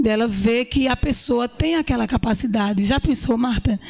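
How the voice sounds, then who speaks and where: A woman speaks at high pitch and a moderate pace, with noticeable background noise. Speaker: businesswoman. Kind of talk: interview.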